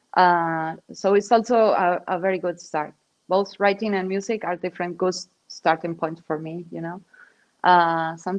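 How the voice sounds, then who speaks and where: Against a quiet background, the speaker talks at a moderate pace with fairly even intonation in a Spanish accent. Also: woman. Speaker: digital artist. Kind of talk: interview. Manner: halting.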